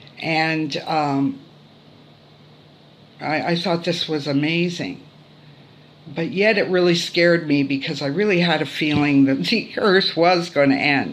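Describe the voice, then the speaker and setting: In a room with audible echo, a woman with a very deep, low pitch speaks fairly slowly, with long, frequent pauses and ordinary pitch variation. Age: 60s. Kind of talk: testimony. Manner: hesitant, many fillers.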